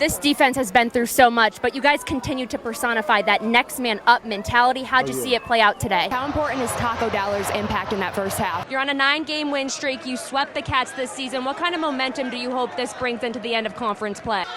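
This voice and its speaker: Against noticeable background noise, a woman with a high pitch and ordinary pitch variation talks at a very fast pace with hardly any pauses. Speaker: sports anchor and reporter. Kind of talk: sideline interview questions. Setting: outdoors, sidelines.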